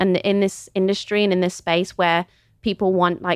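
A woman's medium-pitched voice with a Midlands accent at a moderate pace, dry and close with no echo, on a very clean recording with a silent background. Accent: British English, Midlands. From England, Kidderminster (West Midlands). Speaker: model and influencer. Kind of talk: casual interview chat.

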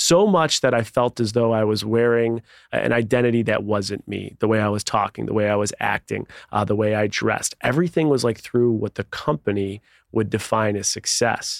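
On a very clean recording with a silent background and a dry, close sound with no echo, a man with a plain, everyday voice speaks fairly quickly at a medium pitch with ordinary pitch variation. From Buffalo, New York. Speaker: author. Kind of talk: interview.

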